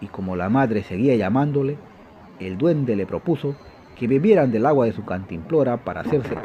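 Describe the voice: Lively intonation marks this plain reading aloud.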